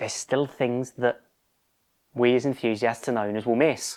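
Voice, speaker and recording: With a British accent, a man speaks at a medium pitch with fairly even intonation. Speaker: car restoration youtuber. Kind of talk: casual workshop vlog. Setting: home garage.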